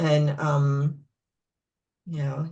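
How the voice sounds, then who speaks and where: A woman's somewhat breathy, very deep, low voice in an American accent, dark and mellow in tone. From upstate New York. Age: 60s. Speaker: librarian. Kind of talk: personal interview. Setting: video call.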